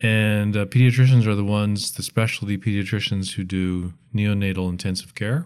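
A man at a fairly quick pace with hardly any pauses and fairly even intonation, in a very clean recording with a silent background. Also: fairly low pitch for a man. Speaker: retired pediatrician. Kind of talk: casual interview. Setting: studio. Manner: calm, relaxed.

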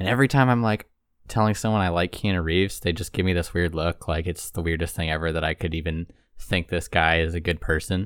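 A man's very deep, low voice at a very fast pace, with ordinary pitch variation, on a very clean recording with a silent background. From Toronto, Canada. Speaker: film industry guest. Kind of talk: casual chat.

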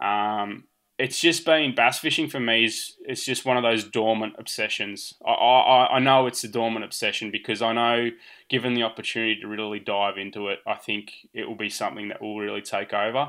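With an Australian accent, the speaker talks at a fairly quick pace in a bright, sharp tone and fairly even intonation, in a very clean recording with a silent background. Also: man, medium pitch for a man. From Australia, central Victoria. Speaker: angler. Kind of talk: casual chat.

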